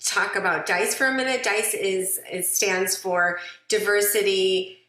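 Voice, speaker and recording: A woman talks at a fairly slow pace with ordinary pitch variation, and audible room echo can be heard. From immigrant, country unstated. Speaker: interviewer, lawyer. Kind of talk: interview.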